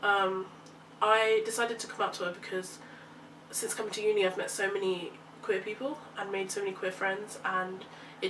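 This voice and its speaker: Speaking fairly quickly in a London accent, a woman holds a medium pitch in a flat monotone. Noticeable background noise and audible room echo fill the recording. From London, England. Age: young. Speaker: university student. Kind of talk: casual chat.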